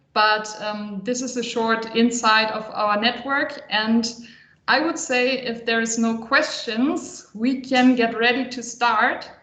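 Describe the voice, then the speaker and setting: Very slow speech from a woman with a fairly high pitch and fairly even intonation, with audible room echo. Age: 30s. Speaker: consultant and psychologist. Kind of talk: online workshop.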